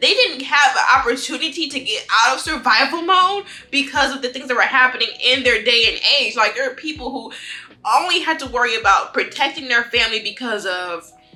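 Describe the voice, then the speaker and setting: Raising and projecting her high voice over noticeable background noise, a woman speaks at a fairly quick pace with lively intonation. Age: 20s. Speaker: lifestyle vlogger. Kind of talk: casual monologue. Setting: home, eating on camera. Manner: animated.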